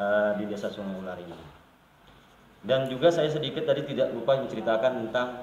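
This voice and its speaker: Speaking with a South Kalimantan accent, a man talks fairly quickly at a medium pitch, with ordinary pitch variation, big swings in loudness and noticeable background noise. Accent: Banjar. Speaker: village official. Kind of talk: interview. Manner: halting.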